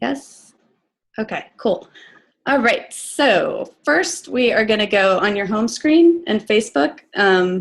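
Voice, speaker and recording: In a quiet background, a woman speaks very slowly in a fairly high, somewhat breathy voice with very wide pitch swings. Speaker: online business coach. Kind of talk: tutorial. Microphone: video call.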